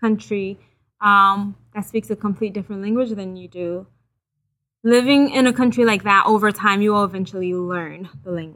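A woman with a Haitian accent speaks at a medium pitch with ordinary pitch variation, her tone bright and sharp and her loudness swinging widely. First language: Haitian Creole. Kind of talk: testimony.

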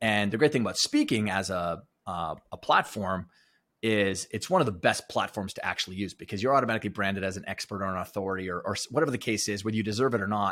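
A very fast, fairly low-pitched man's voice with a Western Canadian accent and ordinary pitch variation, in a very clean recording over a silent background. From Alberta, Canada. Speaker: performance coach and author. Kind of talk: interview conversation.

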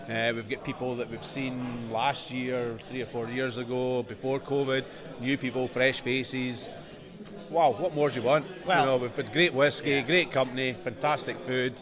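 Noticeable background noise runs under a man speaking at a moderate pace. His pitch sits in the medium range, and his intonation is fairly even. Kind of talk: casual interview.

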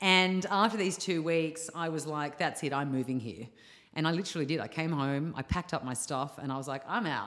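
In an Australian accent, a woman talks at a fairly quick pace. Her voice is very deep and low, with ordinary pitch variation. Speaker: yoga teacher. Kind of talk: casual chat.

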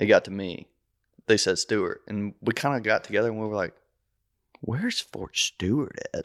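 At a moderate pace, a man talks with long, frequent pauses in a dry, close sound with no echo on a very clean recording with a silent background. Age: 30s. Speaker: army infantry veteran. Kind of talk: casual chat.

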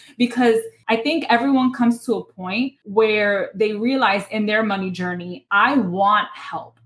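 A woman with a New York accent speaks fairly slowly with hardly any pauses, at a fairly high pitch with ordinary pitch variation. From Bronx, New York. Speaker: personal finance educator and lawyer. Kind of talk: interview.

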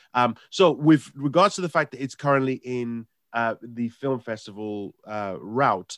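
A man speaks at a medium pitch. The recording is very clean with a silent background, and the sound is dry and close with no echo. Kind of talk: radio show banter with co-hosts and guests. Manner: chatty, animated, self-deprecating, stumbling over words.

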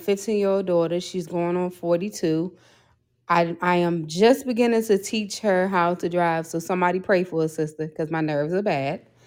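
A woman speaks at a moderate pace in a plain, everyday voice. Her pitch is medium and her intonation fairly even. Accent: American. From Maryland, near Washington DC. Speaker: podcaster. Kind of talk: testimony. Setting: remote call.

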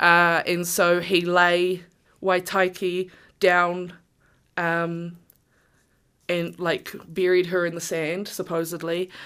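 A woman speaks in a New Zealand accent with a fairly low pitch and monotone, flat intonation. Her very slow pace includes long, frequent pauses, on a very clean recording with a silent background. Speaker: Māori storyteller. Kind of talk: storytelling; casual chat.

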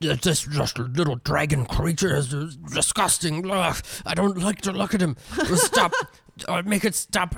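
Someone uses a put-on character voice with a middle pitch at a fairly slow pace. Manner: stuttering, disgusted, scared.

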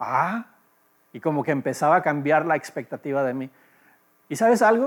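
Speaking at a moderate pace, a man is heard. The recording is very clean with a silent background. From Los Angeles, US. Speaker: pastor. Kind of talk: sermon.

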